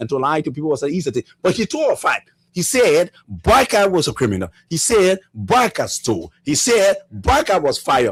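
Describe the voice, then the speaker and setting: With very wide pitch swings, a man speaks in a very clean recording with a silent background. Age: 40s. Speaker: political party member. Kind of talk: political talk show interview. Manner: animated.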